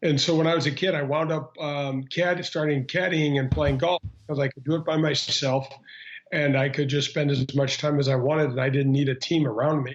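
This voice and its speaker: With a Midwestern American accent, a man talks at a fairly quick pace, his fairly high pitch kept in fairly even intonation. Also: very even loudness. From Missouri, St. Louis. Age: 50s. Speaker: former pro golfer. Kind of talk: interview. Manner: halting, many fillers.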